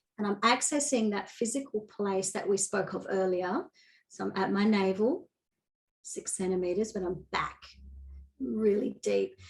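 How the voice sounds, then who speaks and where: A woman speaks at a moderate pace, somewhat breathy, with ordinary pitch variation. Her speech has long, frequent pauses. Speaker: feminine energy coach. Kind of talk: guided demonstration. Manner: naturally high energy.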